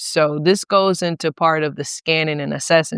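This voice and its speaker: Speaking at a moderate pace, a woman with a Southern US accent has a very deep, low voice and fairly even intonation. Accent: country, informal Southern US. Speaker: podcast co-host. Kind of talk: casual chat.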